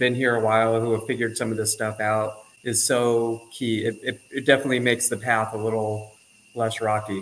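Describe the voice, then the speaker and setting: A man's medium-pitched voice at a fairly quick pace, monotone and flat in intonation. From Southern California. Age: 50s. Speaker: artist and surfer, expat. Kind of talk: casual interview chat.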